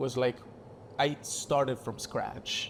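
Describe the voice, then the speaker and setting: Speaking at a fairly slow pace, a man with an Italian accent uses a medium pitch. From southern Italy. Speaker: actor and director. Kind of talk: casual chat. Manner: halting.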